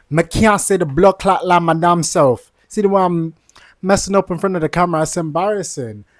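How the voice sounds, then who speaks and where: The speaker is a man with a London accent. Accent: London multicultural English. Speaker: vlogger and aspiring entrepreneur. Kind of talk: casual vlog monologue.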